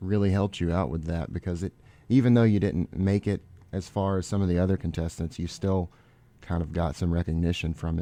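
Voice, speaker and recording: With an American accent and a very deep, low pitch, a man talks at a fairly quick pace with ordinary pitch variation on a very clean recording with a silent background. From South Mississippi. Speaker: college radio host. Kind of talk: radio interview. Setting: radio studio.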